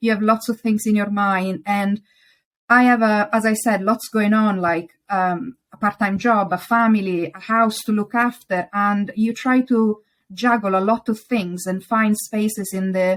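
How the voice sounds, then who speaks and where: A woman with an Italian accent speaks at a fairly high pitch. Her pace is fairly slow and her intonation fairly even. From Italy. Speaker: interior designer. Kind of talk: interview. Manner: hesitant, with some stumbles.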